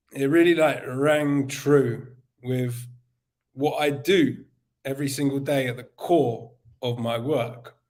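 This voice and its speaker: In a room with audible echo, a man speaks at a fairly high pitch and a very slow pace. His intonation is fairly even, with long, frequent pauses. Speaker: summit speaker. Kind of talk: motivational talk.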